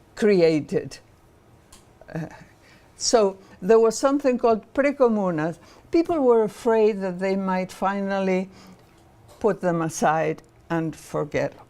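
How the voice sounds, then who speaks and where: A woman with a Spanish accent and a dark, mellow tone, lively intonation, a fairly slow pace, and long, frequent pauses. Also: medium pitch for a woman. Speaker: professor and political activist. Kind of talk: lecture. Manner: halting, many fillers.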